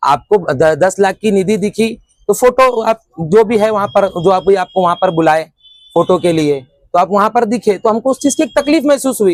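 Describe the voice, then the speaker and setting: Recorded dry and close with no echo, a man with a high pitch speaks at a moderate pace with very even loudness. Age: 20s. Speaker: teacher and local protester. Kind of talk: interview testimony. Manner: halting, many false starts.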